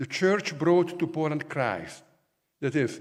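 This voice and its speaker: A man with an Italian accent speaks at a moderate pace, his voice showing vocal fry, with audible echo in the room. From Italy. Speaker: professor. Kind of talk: lecture.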